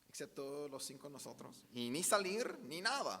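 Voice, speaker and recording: With an Australian accent, a man talks at a very slow pace in a bright, sharp tone with lively intonation, and the room echo is audible. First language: English (speaking Spanish). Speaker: pastor. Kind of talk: sermon.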